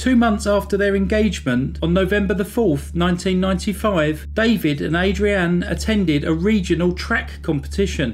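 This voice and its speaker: A man speaks with a British accent at a moderate pace. Music plays in the background. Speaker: true crime narrator. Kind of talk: scripted true-crime narration, measured and serious. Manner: even, measured, sombre storytelling pace; formal, clear, factual delivery.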